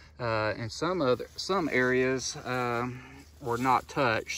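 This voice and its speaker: A man's bright, sharp tone at a very slow pace, dry with no echo, over light background noise. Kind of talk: field tour commentary. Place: open country. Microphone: phone near.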